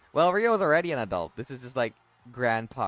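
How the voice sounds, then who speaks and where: With music in the background, a man talks in very wide pitch swings. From Philippines. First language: Tagalog. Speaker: artist streamer. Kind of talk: casual live-stream chat. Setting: live stream. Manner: halting, many repetitions.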